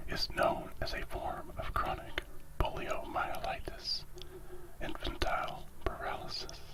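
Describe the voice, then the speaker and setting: Someone is whispering while noticeable background noise fills the recording. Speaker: ASMR content creator reading stories. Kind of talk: ASMR story reading, whispered relaxation. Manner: whispered, soft-spoken.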